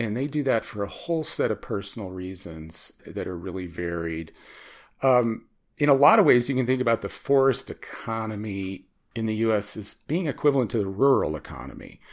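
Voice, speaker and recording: A man with an American accent, medium pitch and lively intonation, an ordinary speaking voice, on a very clean recording with a silent background. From US Midwest (Chicago). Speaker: environmental economics researcher. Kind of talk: interview.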